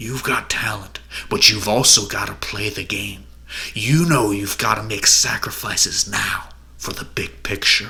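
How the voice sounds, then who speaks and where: Using a growling put-on character voice, a man speaks at a fairly low pitch and a moderate pace, with ordinary pitch variation, big swings in loudness, and light background noise. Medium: read story. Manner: glib, condescending.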